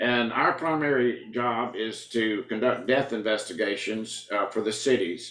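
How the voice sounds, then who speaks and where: Speaking with a Southern US accent, a man talks at a fairly slow pace with a medium pitch. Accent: Southern US (Georgia). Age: 70s. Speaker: county coroner. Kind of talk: interview. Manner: halting, frequent fillers.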